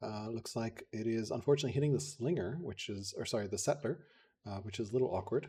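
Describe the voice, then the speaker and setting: A man with an American accent speaks at a very fast pace in a medium-pitched, somewhat breathy voice with a dark, mellow tone. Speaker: game commentator. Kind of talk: live commentary.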